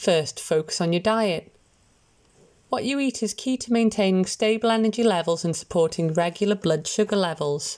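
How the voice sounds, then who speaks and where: A woman speaks at medium pitch with lively intonation in a normal speaking voice. The recording is very clean, with a silent background. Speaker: volunteer newsreader. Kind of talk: reading aloud.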